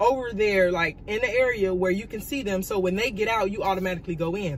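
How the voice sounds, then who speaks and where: Here a woman speaks with lively intonation at a fairly quick pace. Light background noise is present. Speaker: vlogger. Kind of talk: casual storytime vlog chat. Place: car. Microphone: phone near.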